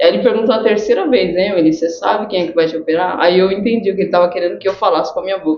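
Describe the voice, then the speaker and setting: Over noticeable background noise, a woman with a medium-pitched voice talks with hardly any pauses and ordinary pitch variation. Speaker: cancer survivor sharing faith testimony. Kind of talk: testimony. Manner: slow.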